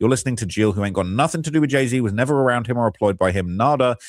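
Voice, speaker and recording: Someone speaks at a very fast pace with ordinary pitch variation on a very clean recording with a silent background. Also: man. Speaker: streamer discussing celebrity news. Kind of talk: live stream commentary reading comments. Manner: stuttering, jittery.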